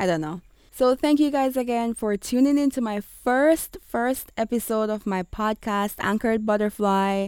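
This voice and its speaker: Speaking with an American accent at a moderate pace and hardly any pauses, a woman with a fairly high pitch and ordinary pitch variation comes through on a very clean recording, with a silent background and a dry, close sound with no echo. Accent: Jamaican with American switching. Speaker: blogger and podcaster, ESL teacher. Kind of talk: casual solo podcast intro. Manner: animated, excited, chatty.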